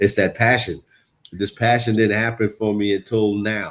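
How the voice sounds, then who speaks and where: A man with an American accent speaks at a fairly quick pace in a fairly low pitch. It is a plain, everyday voice, heard over a quiet background. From New York. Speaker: youth worker and coach. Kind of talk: panel discussion.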